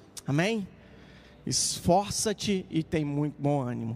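A man's voice with lively intonation. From Minas Gerais interior, Brazil. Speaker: pastor. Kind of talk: prayer; sermon.

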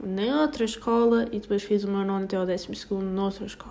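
A woman's medium-pitched voice with a European Portuguese accent and fairly even intonation. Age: 20s. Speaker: podcaster. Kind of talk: casual monologue. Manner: halting.

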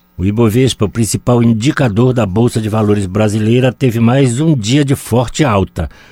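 Dry and close with no echo, a man's medium-pitched voice with a dark, mellow tone moves at a moderate pace, with ordinary pitch variation and hardly any pauses. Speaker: weather and markets reader. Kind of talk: radio news reading.

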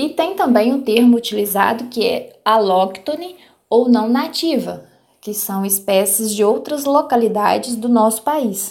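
The delivery is fairly slow, with lively intonation. Audible room echo surrounds the voice. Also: woman, fairly high pitch for a woman. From Minas Gerais, Brazil (rural Palma). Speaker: biologist. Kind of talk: interview. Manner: halting, many repeated words.

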